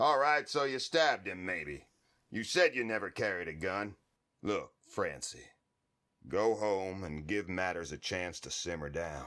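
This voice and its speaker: Putting on a character voice, a man speaks in a raspy, fairly low pitch at a moderate pace. His tone is calm, his intonation lively. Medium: audio drama. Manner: calm, laconic.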